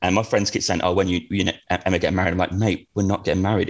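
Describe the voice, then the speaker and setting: A man with a Norfolk accent speaks in a fairly low pitch. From eastern England, Norwich. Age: 30s. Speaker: traveller. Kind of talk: casual chat.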